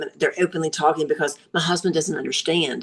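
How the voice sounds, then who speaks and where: A woman at a fairly quick pace in a normal speaking voice, pitched fairly low. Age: 60s. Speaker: nurse practitioner. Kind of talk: interview.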